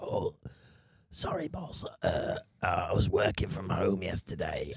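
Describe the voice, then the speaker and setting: A man uses a put-on character voice that sounds raspy. He speaks at a fairly slow pace. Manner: feigned, apologetic.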